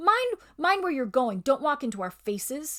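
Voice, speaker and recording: A woman puts on a character voice at a high pitch with very wide pitch swings. Her pace is moderate. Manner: surly.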